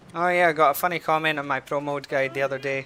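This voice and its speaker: A man with a Scottish accent speaks with ordinary pitch variation. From Scotland. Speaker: video game streamer. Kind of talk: casual live stream commentary while gaming.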